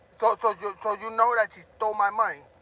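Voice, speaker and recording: Shouting in a raised, projected voice, the speaker has a bright, sharp tone. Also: man. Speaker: drama livestreamer. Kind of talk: livestream rant. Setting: live stream. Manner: loud, yelling.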